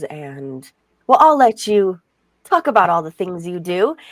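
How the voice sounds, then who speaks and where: Delivered at a moderate pace, this is an ordinary speaking voice. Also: woman. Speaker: podcast co-host. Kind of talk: casual talk.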